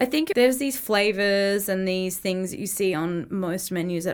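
A woman with an Australian accent is heard in a very clean recording with a silent background. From Australia, Brisbane. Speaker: business owner. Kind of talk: casual chat.

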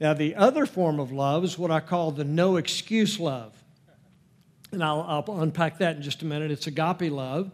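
Speaking in a normal speaking voice, a man keeps a moderate pace, his fairly high pitch showing ordinary variation. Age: 60s. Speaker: Bible teacher. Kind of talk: teaching session at a church class. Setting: church with audience. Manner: folksy, joking.

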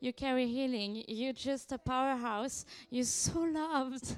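A woman with a French accent talks in a high pitch. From France. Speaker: visiting prophetic minister. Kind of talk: prophetic ministry in church service. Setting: church.

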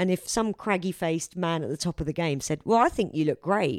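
A plain, everyday voice: a woman, fairly low in pitch, talking at a fairly quick pace with lively intonation. The recording is very clean and silent behind her, with a dry, close sound and no echo. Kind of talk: casual chat. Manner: informal, joking.

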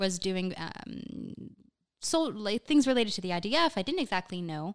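A woman talks in a normal speaking voice with medium pitch and lively intonation. The recording is very clean, with a silent background. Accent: American. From US East Coast, Miami. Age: 20s. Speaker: communications manager. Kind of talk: casual interview.

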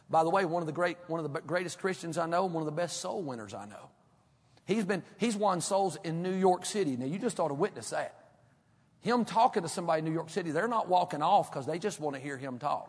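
Here a man talks at a very fast pace in a Southern US accent. His pitch is high, with ordinary variation. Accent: country Southern. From North Carolina foothills. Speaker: pastor. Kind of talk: sermon.

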